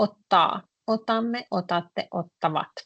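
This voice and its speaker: A woman with a Finnish accent speaks at a medium pitch and a fairly slow pace. Her pitch varies in an ordinary way, and the background is quiet. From northern Finland. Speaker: Finnish language teacher. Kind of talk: online language lesson.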